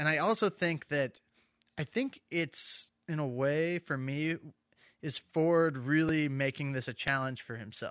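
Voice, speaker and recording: A man speaks with a plain, everyday voice at a fairly high pitch. His fairly slow delivery comes through with a dry, close sound and no echo. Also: ordinary pitch variation, very clean recording, silent background. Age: 30s. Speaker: film podcast host. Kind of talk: casual banter about a film. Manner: casual, jokey, conversational.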